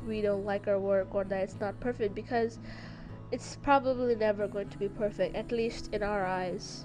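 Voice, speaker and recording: A woman speaks at a moderate pace. Music can be heard in the background. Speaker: concept artist. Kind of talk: casual podcast talk over painting video. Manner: casual, hesitant with fillers.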